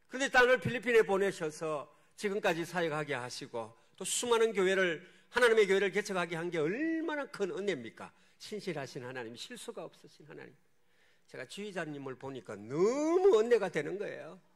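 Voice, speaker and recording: At a fairly quick pace, this man speaks in a high pitch with very wide pitch swings and big swings in loudness. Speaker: missionary pastor. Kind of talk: sermon. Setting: church.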